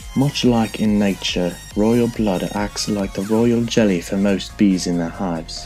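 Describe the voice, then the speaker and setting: Music can be heard in the background. Over it, a man speaks in a fairly low pitch. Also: fairly even intonation, fairly slow pace. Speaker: guest voice-over co-host.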